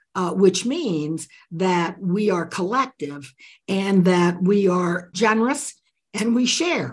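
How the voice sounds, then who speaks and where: Her voice is somewhat breathy and sits at medium pitch. The woman's pitch varies in an ordinary way. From Central America (Nicaragua). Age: 80s+. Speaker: author and leadership expert. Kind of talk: interview conversation.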